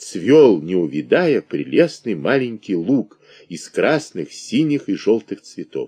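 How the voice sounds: Here the reading voice is natural.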